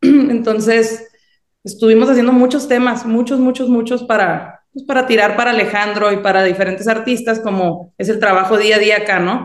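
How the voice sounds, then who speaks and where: A woman's unremarkable speaking voice, fairly high in pitch, with fairly even intonation and a moderate pace. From Mexico, Sinaloa. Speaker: songwriter. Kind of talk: interview.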